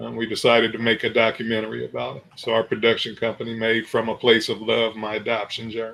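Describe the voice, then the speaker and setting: A man with a medium-pitched voice speaks very fast with vocal fry, a bright, sharp tone, flat monotone intonation and big swings in loudness. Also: hardly any pauses. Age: 60s. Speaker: radio station owner and documentary maker. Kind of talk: interview.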